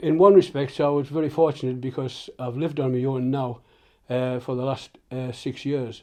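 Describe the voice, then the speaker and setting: The voice has a dark, mellow tone, moving at a moderate pace with fairly even intonation. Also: man, medium pitch for a man. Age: 70s. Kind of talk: interview answer. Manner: hesitant.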